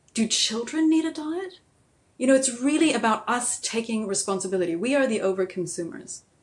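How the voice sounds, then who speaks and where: A woman's voice sits fairly high and makes very wide pitch swings. She talks at a fairly quick pace. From US Southwest (New Mexico), born in Germany. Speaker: midwife and degrowth advocate. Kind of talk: interview conversation. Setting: remote call.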